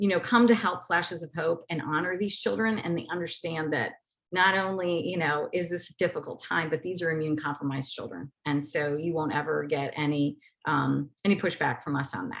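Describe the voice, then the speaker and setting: A woman speaks at a fairly quick pace in a fairly low pitch, with ordinary pitch variation. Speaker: nonprofit outreach manager. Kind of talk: webinar presentation. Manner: fast; many fillers.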